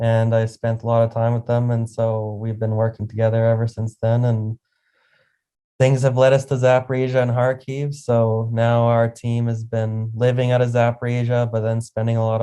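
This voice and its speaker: A man with a Canadian accent, medium in pitch and dark and mellow in tone, monotone and flat at a moderate pace. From Canada. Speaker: charity volunteer. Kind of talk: interview.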